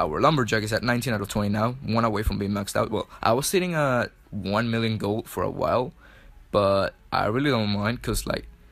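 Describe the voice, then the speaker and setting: A fairly quick delivery in a Chilean Spanish accent, ordinary pitch variation, and a very clean recording over a silent background. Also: man, medium pitch for a man. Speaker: mobile gaming YouTuber. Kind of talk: gameplay commentary voice-over. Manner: casual, filler-heavy with self-corrections.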